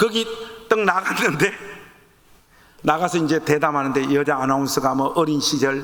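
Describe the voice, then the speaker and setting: Noticeable background noise surrounds a man whose intonation is lively. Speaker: pastor; pastor and author speaking at teacher training. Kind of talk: sermon-style talk to church teachers. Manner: animated.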